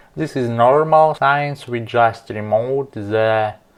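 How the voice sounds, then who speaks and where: At a very slow pace, a man speaks in a medium pitch with ordinary pitch variation and a non-native accent. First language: not English. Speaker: car repair video maker. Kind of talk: tutorial.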